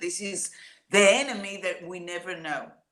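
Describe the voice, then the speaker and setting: In an Israeli accent, a woman speaks at a fairly low pitch with a bright, sharp tone and ordinary pitch variation. Audible room echo surrounds her voice. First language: Hebrew. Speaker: singer-songwriter. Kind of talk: interview.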